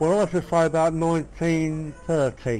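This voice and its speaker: A man with a south London accent speaks at a fairly slow pace and fairly high pitch. Music plays in the background. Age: 80s+. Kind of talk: family reminiscence told in conversation. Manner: casual, conversational.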